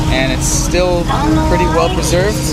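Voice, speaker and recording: Clear music plays in the background. A man speaks in a dry sound with no echo. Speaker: travel vlogger. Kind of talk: casual vlog chat. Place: waterside. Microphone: phone near.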